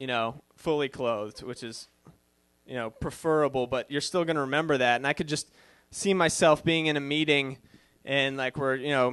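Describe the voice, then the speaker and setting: A man with a fairly high voice speaks with a slight Boston accent. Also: fairly even intonation, moderate pace, quiet background. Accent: Boston accent, faint. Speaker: comedian. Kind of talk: stand-up. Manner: hesitant, many fillers.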